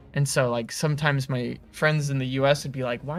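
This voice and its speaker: Over music in the background, someone speaks at a moderate pace with an American accent. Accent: American with slight British inflections. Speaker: game studio livestream host. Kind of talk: casual livestream chat.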